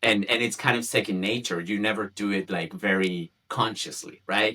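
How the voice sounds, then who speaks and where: Speaking in a Spanish accent, a man with a fairly low pitch and a bright, sharp tone keeps fairly even intonation at a moderate pace. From Chile. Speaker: community founder, communications professional. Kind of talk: podcast interview. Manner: halting, many fillers and repetitions.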